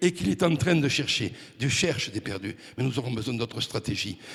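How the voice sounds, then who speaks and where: With noticeable noise in the background, the man's pitch swings very widely. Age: 60s. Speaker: preacher. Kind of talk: sermon. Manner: animated.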